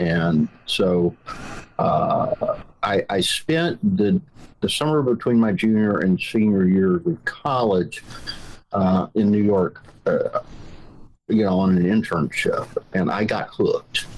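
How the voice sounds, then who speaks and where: With a strong Southern US accent, a man speaks at a very slow pace, taking long, frequent pauses while keeping his loudness very even. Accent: thick Southern. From Georgia, US South (rural, Ellijay). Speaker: magazine founder, journalist. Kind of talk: interview. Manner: hesitant, many fillers.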